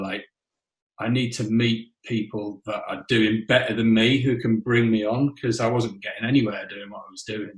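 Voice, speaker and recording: In a Yorkshire accent, the speaker talks at a moderate pace with fairly even intonation and a somewhat breathy voice. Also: man. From northern England, Whitby (North Yorkshire). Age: 50s. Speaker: rock drummer. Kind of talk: interview. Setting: podcast.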